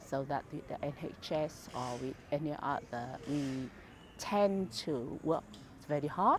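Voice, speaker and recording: Her pitch sits very deep and low. This woman talks at a very slow pace. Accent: Vietnamese. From Vietnam. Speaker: charity founder. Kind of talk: interview. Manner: halting, many fillers.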